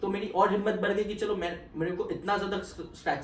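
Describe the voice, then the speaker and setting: Noticeable background noise surrounds a man's voice. Audible room echo comes through as well. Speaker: chartered accountant. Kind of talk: interview. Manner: code-switching Hindi and English.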